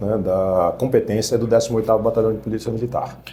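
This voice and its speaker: A man talks at a fairly quick pace with a medium-pitched voice, and audible echo fills the room. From Rio de Janeiro, West Zone. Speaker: police commander. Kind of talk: interview. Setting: studio.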